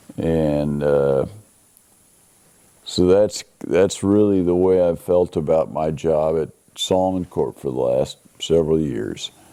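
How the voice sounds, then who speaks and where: A man with a Midwestern American accent at a fairly slow pace. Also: long, frequent pauses. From Kansas. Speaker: interviewee. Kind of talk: personal history interview.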